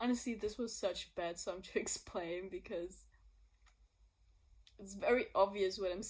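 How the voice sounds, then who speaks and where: A woman with a non-native accent speaks at a fairly slow pace and medium pitch, with fairly even intonation. Her loudness swings widely, and she takes long, frequent pauses. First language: not English. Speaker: singer-songwriter. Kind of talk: casual explanation vlog. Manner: laughing; spontaneous, unscripted.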